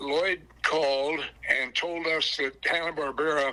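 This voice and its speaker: A man speaks at a fairly high pitch in a bright, sharp tone with fairly even intonation. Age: 90s. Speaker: retired company executive. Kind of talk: interview. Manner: halting.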